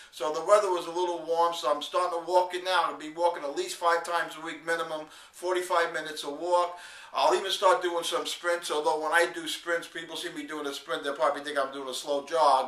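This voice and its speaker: Amid noticeable background noise and audible room echo, a man with a high pitch speaks in a monotone, flat way. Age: 50s. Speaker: video blogger, network marketer. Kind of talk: video diary. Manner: casual, halting with fillers.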